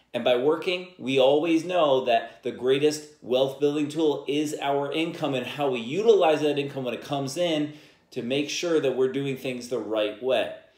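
A man speaks with hardly any pauses, his voice carrying audible room echo against a quiet background. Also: ordinary pitch variation, moderate pace. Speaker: podcast host. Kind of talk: podcast monologue on personal finance. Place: home room.

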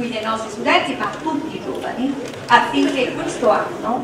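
Against noticeable background noise and audible room echo, a woman speaks at a fairly slow pace with ordinary pitch variation. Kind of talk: formal welcome speech. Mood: warm, celebratory. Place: stage.

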